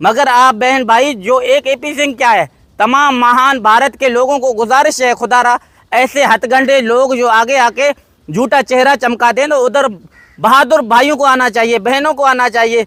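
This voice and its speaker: A man speaks fairly slowly in an extremely high, raised and projected voice with a bright, sharp tone. His intonation is fairly even, his loudness very even, and the sound is dry and close with no echo. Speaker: vlogger, father appealing for his children. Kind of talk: emotional video appeal. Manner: impassioned.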